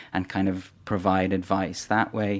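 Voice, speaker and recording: A man with a Dublin accent against a quiet background. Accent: Irish (Dublin). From Ireland, Dublin. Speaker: foundation chief executive. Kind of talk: interview. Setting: studio. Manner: halting, many repetitions.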